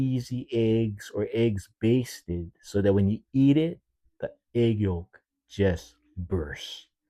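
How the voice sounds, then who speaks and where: A man's dark, mellow tone at a very slow pace on a very clean recording with a silent background. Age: 60s. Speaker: chef. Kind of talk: casual monologue. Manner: casual, rambling.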